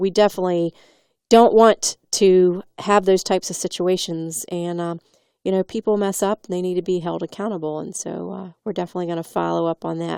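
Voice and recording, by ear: The speaker moves at a fairly quick pace with vocal fry, a slightly mellow, clear, smooth tone and fairly even intonation. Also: woman, dry, close sound with no echo.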